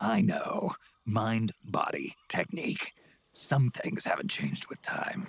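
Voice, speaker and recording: In a put-on character voice, a man speaks with a high pitch at a fairly slow pace. The sound is dry and close, with no echo. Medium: video game. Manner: terse, gruff.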